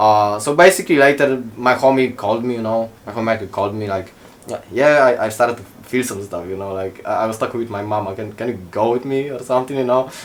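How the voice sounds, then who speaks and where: Delivered at a very fast pace with ordinary pitch variation, the speech comes through noticeable background noise. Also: man, medium pitch for a man. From Poland. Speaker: podcast guest. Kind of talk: casual chat. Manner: halting.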